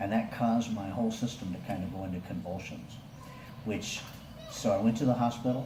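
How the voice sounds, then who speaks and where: Noticeable background noise accompanies fairly quick talking with fairly even intonation. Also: man, medium pitch for a man. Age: 60s. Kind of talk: casual talk to camera.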